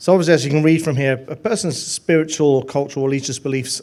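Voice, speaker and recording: A man talks fairly quickly in a fairly high voice, with ordinary pitch variation. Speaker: lay minister. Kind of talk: presentation.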